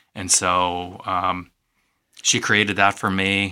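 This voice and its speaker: With an American accent, a man with a very deep, low pitch speaks in a bright, sharp tone and monotone, flat intonation, in a very clean recording with a silent background. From US Midwest, East Moline, Illinois. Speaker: corporate heritage manager. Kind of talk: radio interview.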